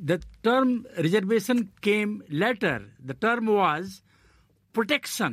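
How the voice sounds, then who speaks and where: Someone with an Indian accent speaks at a very slow pace. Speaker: journalist and political commentator. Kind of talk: panel discussion.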